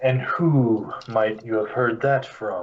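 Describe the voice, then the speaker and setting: A man puts on a character voice at medium pitch. He speaks at a very slow pace. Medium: actual play. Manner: measured, formal.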